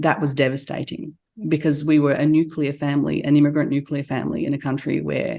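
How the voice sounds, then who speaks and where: A woman's very deep, low voice with vocal fry and an Australian accent, fairly even in intonation, against a quiet background. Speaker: entrepreneur. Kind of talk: interview.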